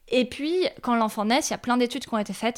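A woman speaking at a very fast pace, on a very clean recording with a silent background. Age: 30s. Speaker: journalist and podcast creator. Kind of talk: interview.

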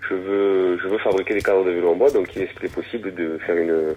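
A man speaks with a southwestern French accent. His pace is moderate and his pitch fairly low. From southwest France. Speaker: woodworker and bicycle frame builder. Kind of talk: interview. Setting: phone call.

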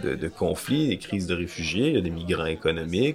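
Noticeable background noise fills the clip. Over it, a man talks with ordinary pitch variation. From Quebec. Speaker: podcast co-host. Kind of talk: casual discussion.

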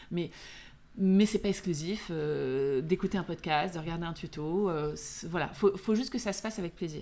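A woman speaks at a moderate pace with ordinary pitch variation. Her pitch is fairly low and her tone dark and mellow. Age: 40s. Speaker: beauty entrepreneur. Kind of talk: casual chat. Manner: animated.

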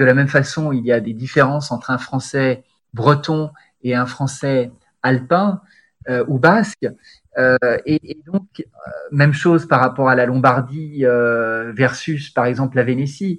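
A man speaks at a fairly slow pace in a plain, everyday voice, his medium pitch moving with ordinary variation. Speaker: sports journalist turned corporate spokesman. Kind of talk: interview conversation.

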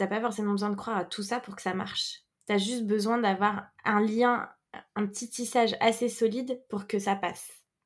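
The intonation is monotone and flat, and the words come at a moderate pace. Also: woman, fairly high pitch for a woman. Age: 30s. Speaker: entrepreneur and women's circle facilitator. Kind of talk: casual interview conversation. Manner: hesitant, many fillers.

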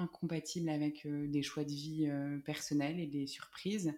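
On a very clean recording with a silent background, a woman speaks with a very deep, low pitch, a dark, mellow tone, and fairly even intonation. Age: 20s. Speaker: law student and mother. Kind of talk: interview testimony. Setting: at the host's home. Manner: talkative.

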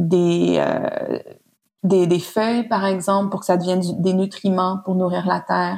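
In a Quebec accent, a woman speaks with monotone, flat intonation. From Montreal, Quebec. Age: 30s. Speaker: designer and researcher. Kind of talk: casual interview. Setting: at guest's home.

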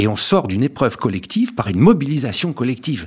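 The pitch swings very widely in this somewhat breathy voice. The pace is moderate. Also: man. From France, Paris. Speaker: motivational speaker and author. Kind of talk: radio interview.

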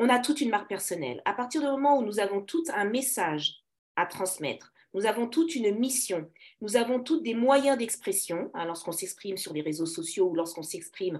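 A woman's fairly high voice with very wide pitch swings at a moderate pace. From Paris, France. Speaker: business coach. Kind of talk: interview.

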